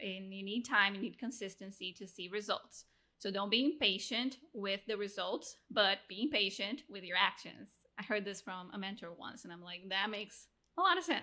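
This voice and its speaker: A woman speaks with a Portuguese accent in a bright, sharp tone. Her pace is moderate, her pitch variation ordinary, and her loudness swings widely. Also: medium pitch for a woman, very clean recording, silent background. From Brazil, Rio de Janeiro. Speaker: podcast producer and coach. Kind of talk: interview conversation. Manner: animated.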